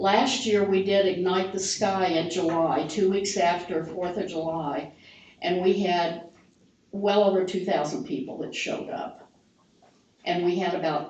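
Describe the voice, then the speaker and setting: Amid noticeable background noise and audible room echo, a woman speaks at a fairly slow pace with a medium pitch and ordinary pitch variation. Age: 70s. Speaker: downtown volunteer group board member. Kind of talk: public meeting presentation. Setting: city council meeting.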